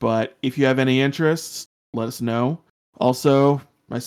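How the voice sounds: A natural reading voice, fairly even in intonation, against a quiet background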